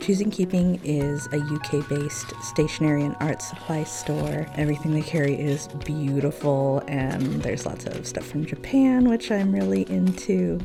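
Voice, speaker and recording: Over music in the background, a woman with a very deep, low pitch and a gentle, calm tone speaks at a moderate pace with very wide pitch swings and hardly any pauses. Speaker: yarn shop owner. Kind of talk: gentle narrated unboxing.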